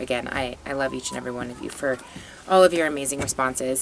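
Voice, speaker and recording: Against noticeable background noise, a woman with a very deep, low pitch talks at a very fast pace with fairly even intonation. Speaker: psychic tarot reader. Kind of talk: tarot reading monologue. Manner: halting with fillers.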